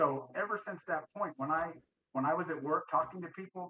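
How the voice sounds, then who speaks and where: A loud man talks fairly quickly at a high pitch with ordinary pitch variation, in a dry, close sound with no echo. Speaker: war veteran. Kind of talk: casual chat. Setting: video call. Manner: assertive.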